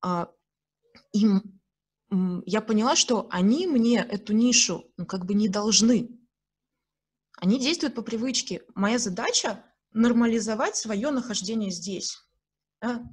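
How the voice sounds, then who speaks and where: Somewhat breathy and fairly high-pitched, a woman talks at a fairly slow pace with long, frequent pauses. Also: ordinary pitch variation. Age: 30s. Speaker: podcast host. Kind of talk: casual chat.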